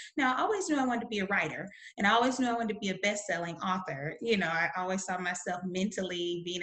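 In a Southern US accent, a woman speaks with lively intonation. Her pitch sits in the medium range. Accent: Southern American. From US South. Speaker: publisher and author. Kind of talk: interview.

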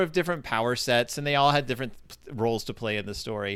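A man's bright, sharp tone with an American accent. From South Texas. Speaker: podcast host, guest. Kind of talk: casual chat. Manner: halting.

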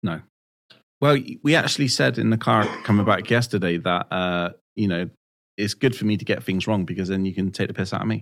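A man talks at a fairly quick pace. His voice carries vocal fry. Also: fairly low pitch for a man, ordinary pitch variation, very clean recording, silent background. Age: 40s. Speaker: podcast host. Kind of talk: casual chat. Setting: studio.

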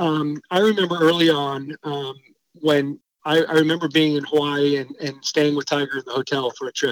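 A man speaks in an ordinary speaking voice at a fairly high pitch and a moderate pace. The sound is dry and close with no echo. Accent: American. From US Pacific Northwest, Eugene, Oregon. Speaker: college golf coach. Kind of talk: interview.

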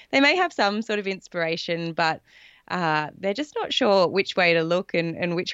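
A woman with an Australian accent speaks at a fairly low pitch. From south coast of Australia. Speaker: life coach and former athlete. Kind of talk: casual interview chat.

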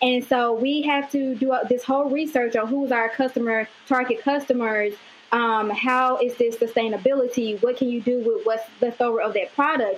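With a Mississippi accent, a woman talks at a moderate pace in a high pitch, her intonation fairly even. Her loudness stays very even, and she hardly pauses. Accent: Southern US (Mississippi). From US South, Amory, Mississippi. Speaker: fashion designer. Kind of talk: interview.

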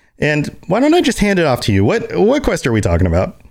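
A man speaks at a fairly high pitch, with very wide pitch swings. Vocal fry runs through his voice. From Puerto Rico. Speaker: podcast host. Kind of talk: casual chat.

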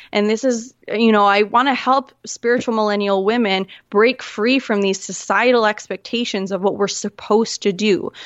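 In a plain, everyday voice, a woman with a fairly high pitch speaks at a moderate pace with hardly any pauses and very even loudness. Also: fairly even intonation. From Manitoba, Canada. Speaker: clarity coach and podcaster. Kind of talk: casual interview chat.

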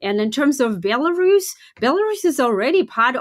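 Speaking with a Russian accent, a woman uses a high pitch and very wide pitch swings. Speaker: political analyst. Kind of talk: interview.

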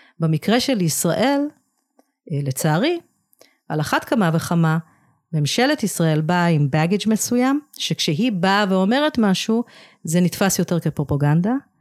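A woman with a fairly low pitch speaks at a fairly slow pace, with very wide pitch swings, very even loudness and long, frequent pauses, in a very clean recording with a silent background. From England (moved to Israel as a child). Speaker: nonprofit founder. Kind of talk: interview.

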